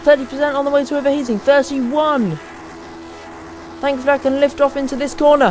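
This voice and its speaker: An animated tone comes through with music in the background. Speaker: sim racing gamer. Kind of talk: gameplay commentary. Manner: loud.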